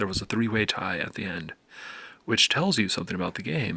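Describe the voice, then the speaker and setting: A soft-spoken man has a bright, sharp tone and a fairly low pitch. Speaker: video game youtuber. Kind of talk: casual vlog commentary. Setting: at home late at night.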